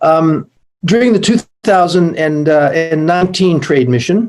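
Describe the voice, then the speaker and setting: The speaker is a man at a moderate pace. His pitch varies in an ordinary way. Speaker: panel speaker, Canadian trade representative. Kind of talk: conference panel presentation. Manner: hesitant with fillers.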